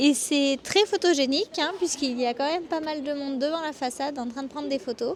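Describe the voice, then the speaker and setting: A woman's high-pitched voice at a fairly quick pace, with hardly any pauses, ordinary pitch variation and noticeable background noise. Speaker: travel vlogger. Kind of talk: travel vlog presentation.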